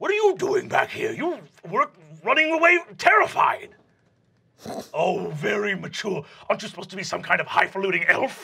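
A man puts on a menacing character voice at an extremely high pitch. He leaves long, frequent pauses. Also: moderate pace. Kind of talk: comic improv. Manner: menacing then flustered.

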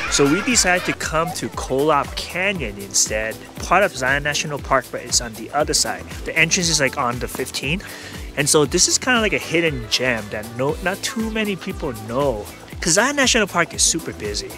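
A man speaks at a fairly quick pace. Clear music plays in the background, and the sound is dry with no echo. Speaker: family vlogger. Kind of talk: casual vlog chat. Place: open country. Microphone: phone near.

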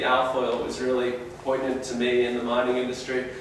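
A man's voice comes through strong room echo and light background noise. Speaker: presenter. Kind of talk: lecture. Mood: warm, personal anecdote. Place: classroom.

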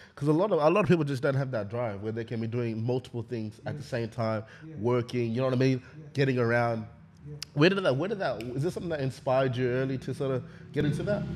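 Over light background noise, a man with an Australian accent talks at a very fast pace with ordinary pitch variation. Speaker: podcast host. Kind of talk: casual chat. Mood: reflective, earnest. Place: studio. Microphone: studio mic.

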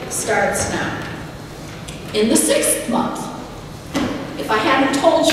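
Noticeable background noise and strong room echo accompany a woman who speaks at a very slow pace. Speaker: pastor preaching. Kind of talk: sermon. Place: church.

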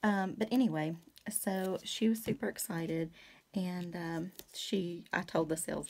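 A woman speaks with a fairly low pitch and ordinary pitch variation. Her voice is somewhat breathy. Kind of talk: casual craft tutorial chat. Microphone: phone near.

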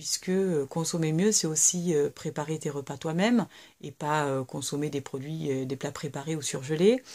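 In a quiet background, a woman talks at a fairly slow pace. Her pitch is very deep and low, and her intonation is lively. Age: 30s. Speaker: YouTuber, mother of three; YouTuber. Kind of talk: casual vlog monologue. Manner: hesitant, many fillers. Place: home room. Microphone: webcam.

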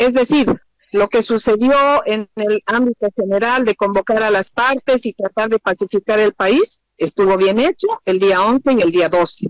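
An unremarkable speaking voice at a fairly slow pace, with ordinary pitch variation, very even loudness, and a dry, close sound with no echo. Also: woman, fairly high pitch for a woman. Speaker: former government minister. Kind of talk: interview.

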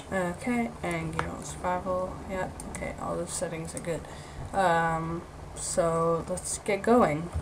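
A woman's words come at a very slow pace while noticeable background noise runs underneath. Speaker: gaming video creator. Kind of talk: gameplay commentary. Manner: halting, many filler words.

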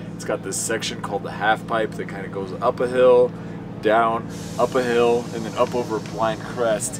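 The speaker talks at a moderate pace. Music plays in the background. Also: man. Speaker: drifting driver and stunt driver. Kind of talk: casual storytelling monologue. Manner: animated, joking.

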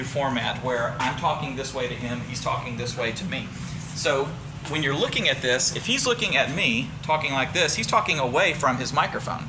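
Over noticeable background noise, a man speaks at a fairly quick pace with fairly even intonation. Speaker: presenter. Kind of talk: tutorial. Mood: light, joking. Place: studio. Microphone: lapel.

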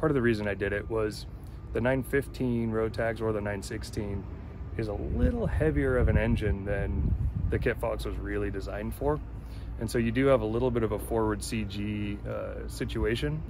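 With noticeable background noise but a dry sound and no echo, a man with a very deep, low voice talks at a fairly quick pace while his pitch swings very widely. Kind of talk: interview answer. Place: open country. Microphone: phone near.

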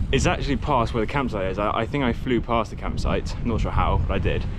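Loud background noise runs behind a man. He speaks at a very fast pace in a dry sound with no echo. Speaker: cycle touring vlogger. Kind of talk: casual vlog chat. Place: bicycle. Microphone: phone near.

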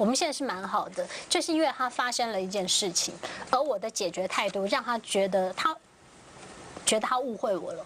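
With light background noise, a woman speaks at a fairly quick pace but takes long, frequent pauses. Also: fairly high pitch for a woman. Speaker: TV talk show panelist. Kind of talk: TV panel discussion. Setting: studio. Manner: animated. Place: studio.

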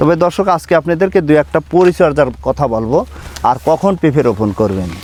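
A man is heard over noticeable background noise. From Bangladesh, Pabna district. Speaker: papaya farmer and seedling nursery owner. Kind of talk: farm tour video presentation. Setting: outdoors in papaya orchard.

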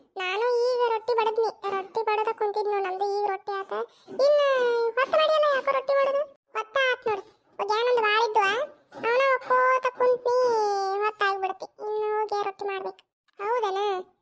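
In a cartoonish character voice, a woman speaks at a moderate pace with an extremely high, squeaky pitch and ordinary pitch variation. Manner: reassuring, bossy.

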